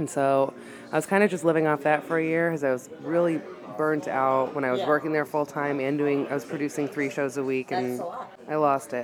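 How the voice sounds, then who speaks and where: The speaker talks at a fairly quick pace, and there is noticeable background noise. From Massachusetts. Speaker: stand-up comedian. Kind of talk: casual chat. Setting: bar.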